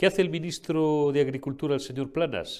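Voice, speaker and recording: A man's voice with vocal fry, moderate pace, very clean recording and silent background. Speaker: political commentary show host. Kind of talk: political commentary. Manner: animated.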